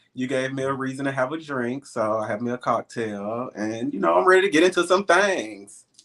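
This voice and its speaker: A man with a Southern US accent and a medium-pitched voice talks with lively intonation and hardly any pauses. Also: fairly quick pace. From Alabama, Birmingham. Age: 30s. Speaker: pet stylist and web series personality. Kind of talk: casual interview.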